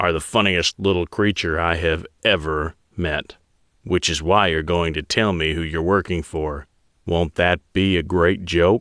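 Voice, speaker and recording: A man growls in a put-on character voice at a very deep, low pitch. His tone is menacing. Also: moderate pace. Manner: growling, menacing.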